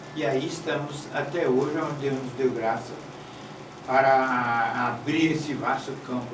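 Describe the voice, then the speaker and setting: A man at a medium pitch and fairly slow pace with fairly even intonation, amid audible room echo and noticeable background noise. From Brazil, Bahia (Salvador). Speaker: bishop and pastor. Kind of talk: interview.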